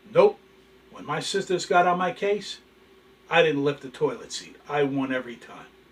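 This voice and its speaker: Over noticeable background noise, a man with a high voice speaks at a moderate pace with lively intonation, big swings in loudness, and long, frequent pauses. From New York (Bronx), Italian-American family; later New Jersey. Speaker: channel host, storyteller. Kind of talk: casual storytelling monologue. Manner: animated.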